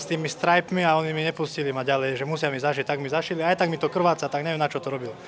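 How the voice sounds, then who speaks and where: Over light background noise, a man with a fairly high pitch talks at a very fast pace in a monotone, flat intonation. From Slovakia. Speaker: MMA fighter. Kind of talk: post-fight interview. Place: hall. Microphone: handheld.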